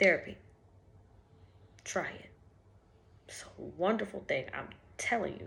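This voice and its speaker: Whispering at a fairly slow pace, a woman leaves long, frequent pauses, with audible room echo around her. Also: big swings in loudness. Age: 20s. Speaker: vlogger. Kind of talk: casual vlog monologue. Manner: conversational, frequent filler ums.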